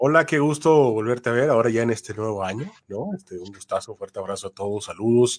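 A man with a medium pitch talks very fast with hardly any pauses, using lively intonation and big swings in loudness, on a very clean recording with a silent background. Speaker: voice-over announcer and voice acting teacher. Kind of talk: interview conversation.

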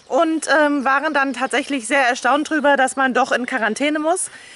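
The intonation stays fairly even at a moderate pace. The sound is dry, with no echo. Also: woman, high pitch for a woman. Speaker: vlogger. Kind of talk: casual vlog chat. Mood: cheerful, relaxed. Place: open country. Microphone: phone near.

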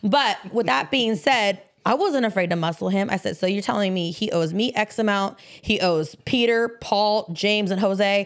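A woman speaks at medium pitch and a moderate pace in a plain, everyday voice, with ordinary pitch variation and very even loudness. The recording is very clean, and the background silent. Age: 30s. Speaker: entrepreneur in cannabis industry. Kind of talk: casual chat.

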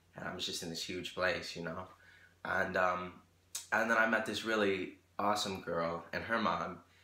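An animated, bright, sharp tone carries audible room echo. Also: man. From Rochester, New York, US; New York. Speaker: YouTuber and singer; YouTuber. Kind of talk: casual vlog monologue. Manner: animated, filler-heavy. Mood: animated storytelling. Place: home room. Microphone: phone near.

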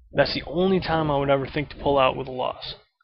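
A man's fairly quick speech, dry with no echo, with noticeable background noise. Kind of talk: casual vlog rant. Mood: blunt, opinionated, mildly annoyed. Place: home room. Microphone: webcam.

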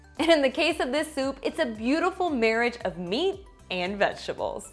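Faint music plays in the background. A woman with a high pitch speaks at a moderate pace. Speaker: cooking host. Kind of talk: tutorial. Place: kitchen.

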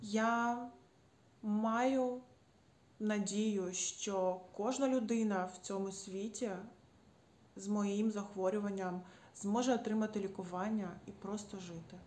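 Speaking at a very slow pace with long, frequent pauses, a woman keeps a medium pitch and fairly even intonation. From Ukraine. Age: 30s. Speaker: patient advocate. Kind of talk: personal testimony. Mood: earnest, calm, grateful. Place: home room. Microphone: phone near.

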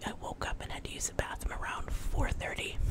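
A woman whispering at a moderate pace. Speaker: home vlogger. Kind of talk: casual vlog storytelling. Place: home room. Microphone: studio mic.

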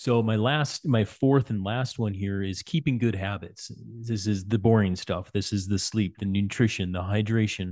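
A man with a plain, everyday voice speaks at a moderate pace with hardly any pauses, a fairly low pitch and ordinary pitch variation. The background is quiet. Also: dry sound with no echo. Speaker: cycling coach and podcast host; cycling coach, podcast host. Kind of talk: interview podcast. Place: home room. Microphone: studio mic.

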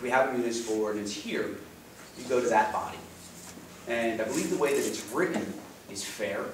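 A man talks very fast amid noticeable background noise and audible room echo. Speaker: town councilman. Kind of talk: meeting remarks. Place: meeting room. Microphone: camera far.

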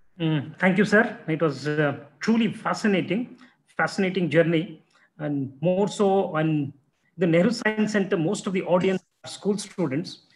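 A man with a high voice and an Indian accent talks at a moderate pace with ordinary pitch variation. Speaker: science centre official and moderator; moderator. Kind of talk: formal introduction and moderated Q&A. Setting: video call. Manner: halting, many fillers. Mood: warm, appreciative. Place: office. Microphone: video call.

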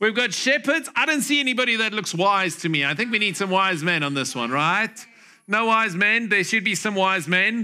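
In a raised, projected voice, a man speaks with lively intonation and a bright, sharp tone. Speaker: pastor. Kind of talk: sermon. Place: church. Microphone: headset.

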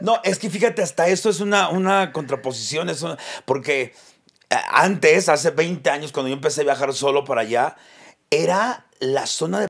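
A man with a fairly high pitch and lively intonation speaks at a moderate pace. He takes long, frequent pauses, and the background is quiet. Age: 40s. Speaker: comedian podcast co-host. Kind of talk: casual chat. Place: studio. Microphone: studio mic.

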